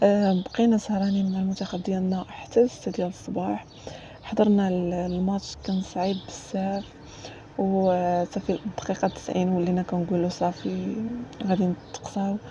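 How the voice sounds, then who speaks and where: A woman's medium-pitched voice, monotone and flat in intonation, at a moderate pace. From Morocco. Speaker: drawing content creator. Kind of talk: casual chat. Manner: spontaneous, hesitant with fillers.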